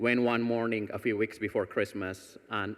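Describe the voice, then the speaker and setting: Moderate pace and fairly even intonation from a man with an ordinary speaking voice, on a very clean recording with a silent background. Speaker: foundation executive and cancer patient. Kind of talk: award presentation speech. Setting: stage with audience.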